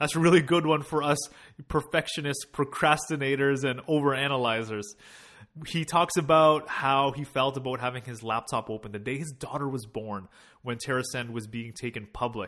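In a very clean recording with a silent background, a man talks at a moderate pace with ordinary pitch variation. He has a fairly high pitch and an ordinary speaking voice. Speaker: podcast host. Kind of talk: podcast interview, casual chat.

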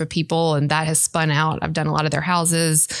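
In a Mississippi accent, a woman talks at a fairly quick pace with a fairly low pitch. The recording is very clean, with a silent background. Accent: US Southern (Mississippi). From Mississippi (Brandon, near Jackson). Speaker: interior designer. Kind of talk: interview.

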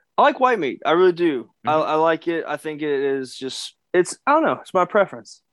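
In a quiet background with dry, close sound and no echo, a high-pitched man with a Kentucky accent talks at a fairly quick pace, his intonation lively and his loudness swinging widely. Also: hardly any pauses. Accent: Kentucky Southern US. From Kentucky, US South. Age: 20s. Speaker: professional wrestler. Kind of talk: casual interview.

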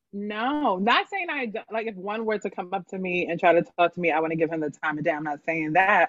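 Here a woman with an unremarkable speaking voice talks in an American accent at a medium pitch. Her pace is fairly quick, with hardly any pauses. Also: lively intonation. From Philadelphia area, Pennsylvania. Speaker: guest. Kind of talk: casual chat.

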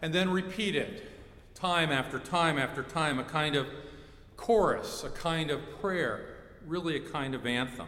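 A man with an American accent at fairly high pitch, ordinary pitch variation and a fairly slow pace, amid audible room echo and noticeable background noise. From Ohio. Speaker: pastor. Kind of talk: sermon. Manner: animated.

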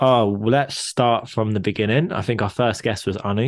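A man with an ordinary speaking voice talks at a moderate pace, his fairly low pitch showing ordinary pitch variation over a quiet background. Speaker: podcast co-host. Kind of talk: casual chat.

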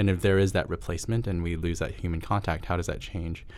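A man talks at a very fast pace with a New Jersey accent. His pitch is very deep and low. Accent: American, New Jersey-like. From Hong Kong. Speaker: agency strategy executive. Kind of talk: casual interview chat.

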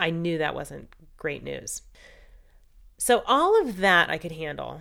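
A woman speaks in a calm tone. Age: 40s. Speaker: cancer patient sharing her story. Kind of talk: personal testimony.

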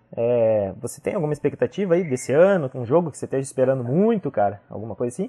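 A man with a fairly high pitch and lively intonation speaks in a dark, mellow tone. The sound is dry and close with no echo, over a quiet background. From Brazil, Curitiba. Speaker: podcast host. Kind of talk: casual chat.

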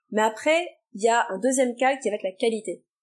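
A woman with an unremarkable speaking voice talks fairly high, her pitch varying in an ordinary way. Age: 30s. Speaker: nutrition therapist. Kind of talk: interview answers.

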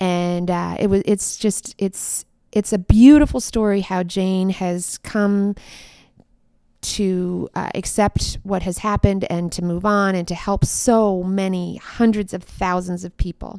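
In a very clean recording with a silent background and a dry, close sound with no echo, a woman with an American accent speaks in a dark, mellow tone. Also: medium pitch for a woman, fairly even intonation, fairly slow pace. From Minnesota. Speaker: podcast host and community organizer. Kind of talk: casual interview chat.

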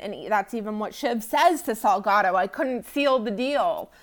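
A woman with a normal speaking voice, an American accent, a fairly high pitch and lively intonation. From United States. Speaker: podcast co-host. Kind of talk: casual podcast discussion of a TV show.

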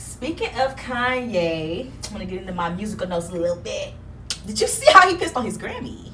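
Against noticeable background noise, a woman with a fairly high pitch talks at a fairly quick pace, her pitch swinging very widely. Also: big swings in loudness. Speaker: podcast host. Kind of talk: casual chat. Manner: open, loud, blunt.

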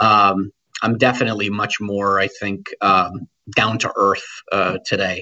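This man has an American accent and a fairly low pitch, talking at a fairly slow pace with a monotone, flat delivery. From Connecticut, New Britain. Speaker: nonprofit executive. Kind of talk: interview. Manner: halting, many repeated words and fillers.

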